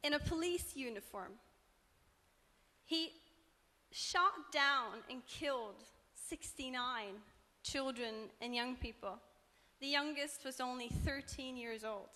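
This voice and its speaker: A woman's raised, projected voice, high in pitch with a bright, sharp tone, at a very slow pace with long, frequent pauses. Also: ordinary pitch variation. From Norway. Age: 20s. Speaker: student activist. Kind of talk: panel talk.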